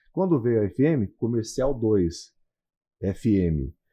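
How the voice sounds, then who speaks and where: Here a man speaks at medium pitch with lively intonation. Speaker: radio broadcaster, announcer and consultant, also lawyer and real estate broker. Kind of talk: podcast interview answer, casual conversation.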